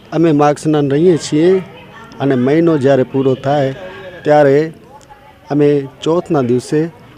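The voice keeps a monotone, flat intonation and very even loudness against noticeable background noise. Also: man, fairly high pitch for a man. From Kutch, Gujarat. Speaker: religious devotee. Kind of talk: interview statement.

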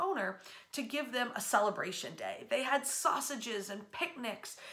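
A woman speaks with a high pitch and lively intonation. Her pace is fairly slow. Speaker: local history guide. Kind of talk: history storytelling. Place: home room. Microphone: phone near.

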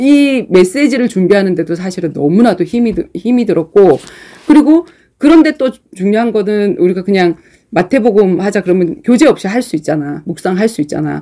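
A woman talks fairly quickly with little sound behind her. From South Korea. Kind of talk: sermon-like Bible teaching. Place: classroom.

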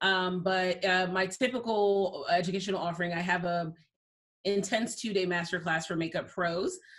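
Against a quiet background, a woman speaks in a plain, everyday voice at a medium pitch and a moderate pace, with fairly even intonation. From US, immigrated from Liberia as a young child. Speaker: makeup artist; guest. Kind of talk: interview. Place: home room. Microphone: video call.

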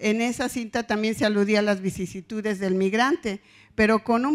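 A woman's fairly high voice with ordinary pitch variation, over a quiet background. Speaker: professor; conference presenter. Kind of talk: academic conference talk. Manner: serious, formal. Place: hall.

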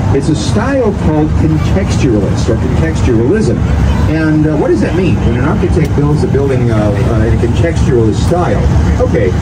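A man talks at a moderate pace with loud background noise all around. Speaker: boat tour guide. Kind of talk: tour guide commentary. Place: boat.

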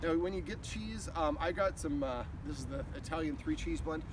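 There is noticeable background noise, and the sound is dry with no echo. A man speaks at a fairly quick pace. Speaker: dog trainer. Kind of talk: tutorial. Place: open country. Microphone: camera far.

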